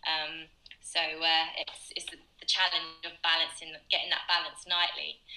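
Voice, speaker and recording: A woman with a fairly low pitch speaks at a moderate pace in a monotone, flat way, with big swings in loudness. Noticeable background noise runs beneath her. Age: 20s. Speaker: musical theatre performer.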